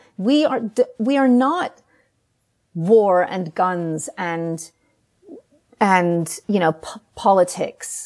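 A woman with a New York accent speaks at a very slow pace. Her tone is passionate, with very wide pitch swings. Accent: American, New York. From US Northeast, New York City. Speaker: writer. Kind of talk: interview. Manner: emotional, passionate.

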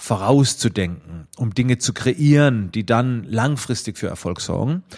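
A man with a medium pitch and ordinary pitch variation talks fairly slowly. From Germany, Schwetzingen near Heidelberg-Mannheim. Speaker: photographer and trainer. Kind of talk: self-recorded interview answers. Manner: hesitant, many fillers.

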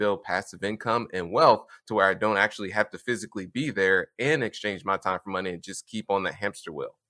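In a very clean recording with a silent background and a dry, close sound with no echo, a man with an American accent speaks at a fairly low pitch in a bright, sharp tone. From US Midwest, Indianapolis, Indiana. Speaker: real estate investor. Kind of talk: podcast interview.

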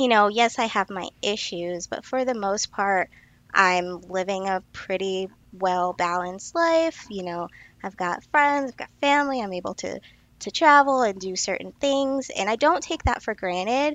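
This woman has a plain, everyday voice at medium pitch, using lively intonation at a moderate pace. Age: 30s. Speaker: nutrition consultant. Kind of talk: casual chat.

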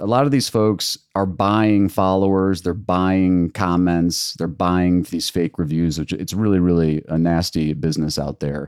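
On a very clean recording with a silent background, a man with an American accent and a very deep, low pitch talks at a fairly slow pace with hardly any pauses and ordinary pitch variation. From Michigan. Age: 40s. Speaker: legal marketing agency president. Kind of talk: interview.

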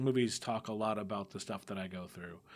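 In a normal speaking voice, a man with an American accent talks at a medium pitch and a fairly quick pace in a very clean recording with a silent background. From US, Mexican American family. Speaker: tabletop RPG podcast game master. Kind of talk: interview.

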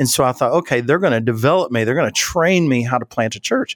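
Lively intonation colors this man's Appalachian accent. The sound is dry and close, with no echo. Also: very clean recording, silent background. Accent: Southern US (Appalachian). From West Virginia, US. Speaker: leadership consultant and church leadership expert. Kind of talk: interview conversation.

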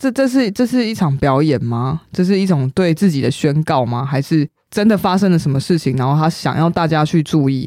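Hardly pausing, a woman speaks in a very deep, low pitch with very wide pitch swings and a dark, mellow tone. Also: fairly quick pace. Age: 30s. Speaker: podcast co-host. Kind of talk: casual chat.

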